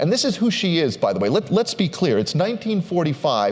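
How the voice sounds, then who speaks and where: With an American accent, this man speaks in very wide pitch swings. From Minnesota. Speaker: history professor giving a book talk. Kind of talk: lecture.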